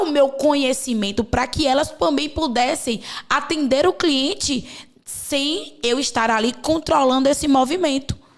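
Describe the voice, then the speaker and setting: In a Bahian accent, a woman speaks at a high pitch with lively intonation. Her pace is fairly slow. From Bahia, Brazil. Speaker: podcast host and mentor. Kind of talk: podcast conversation.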